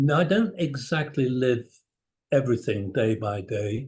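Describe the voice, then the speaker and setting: A man speaks at a very slow pace with a medium pitch. His voice is somewhat breathy, with lively intonation. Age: 70s. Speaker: cardiology professor. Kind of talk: interview. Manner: formal.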